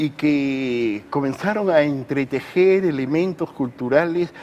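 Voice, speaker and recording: A man speaks with a fairly high pitch and ordinary pitch variation. There is noticeable background noise. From Peru. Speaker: writer and academic. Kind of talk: TV interview answer. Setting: studio.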